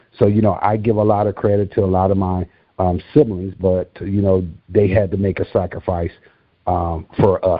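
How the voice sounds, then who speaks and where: A man speaks with an American accent at a fairly low pitch. His intonation is monotone and flat. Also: moderate pace. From Racine, Wisconsin. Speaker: author. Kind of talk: interview.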